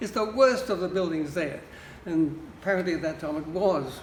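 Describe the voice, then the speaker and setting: A man with an American accent talks at a very fast pace in a high voice. Room echo is audible, along with noticeable background noise. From Australia. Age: 80s+. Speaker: public housing tenant, retired lawyer and artist. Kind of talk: interview.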